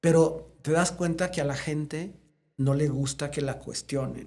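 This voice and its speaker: Speaking at a fairly slow pace, a man has a fairly high voice. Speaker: veterinarian and congress founder. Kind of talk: interview conversation. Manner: animated.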